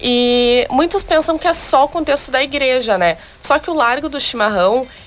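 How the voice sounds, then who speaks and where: A woman's high voice with lively intonation at a fairly quick pace. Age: 20s. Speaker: beauty pageant candidate. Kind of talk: radio interview.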